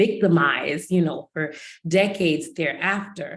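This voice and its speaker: A woman speaks with a Haitian accent at a fairly slow pace. Her tone is animated. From United States, of Haitian descent. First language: Haitian Creole. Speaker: counselor and researcher, webinar panelist. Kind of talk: panel webinar discussion. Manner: animated, conversational.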